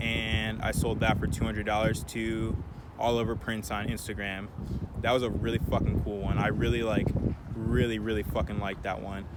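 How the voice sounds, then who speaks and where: Against noticeable background noise and audible room echo, a man speaks at a fairly quick pace in a fairly low pitch. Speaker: thrift clothing reseller, vlogger. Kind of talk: casual Q&A vlog. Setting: outdoors. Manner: fast.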